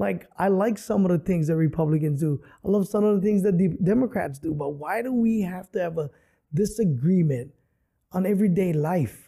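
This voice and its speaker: A man with a Hawaiian accent speaks in a high pitch. His tone is dark and mellow. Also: ordinary pitch variation, moderate pace. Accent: Hawaii local English. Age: 50s. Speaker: comedian. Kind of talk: casual chat.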